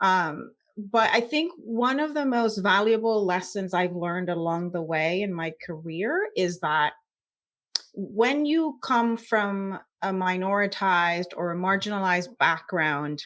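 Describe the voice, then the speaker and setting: At a fairly slow pace, a woman in a Puerto Rican accent uses lively intonation at a medium pitch. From Puerto Rico. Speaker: scientist. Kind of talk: interview.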